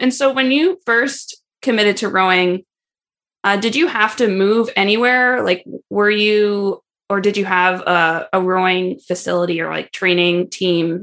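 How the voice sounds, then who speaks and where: Using a plain, everyday voice, a woman speaks at a medium pitch and a fairly slow pace with ordinary pitch variation. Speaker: podcast host and ski coach. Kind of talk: casual interview chat.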